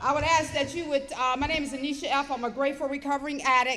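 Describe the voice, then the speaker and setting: A woman's high-pitched voice is raised and projected, bright and sharp in tone, with audible echo from the room. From Detroit, Michigan, US. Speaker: recovery speaker. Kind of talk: testimony. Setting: stage with audience.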